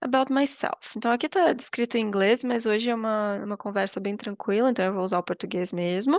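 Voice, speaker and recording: A woman with a fairly high voice at a moderate pace, long and frequent pauses, big swings in loudness and ordinary pitch variation, the sound dry and close with no echo over a quiet background. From Brazil, southern Minas Gerais (Itajubá). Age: 30s. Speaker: English teacher. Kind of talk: online class introduction. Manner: casual, hesitant with many fillers.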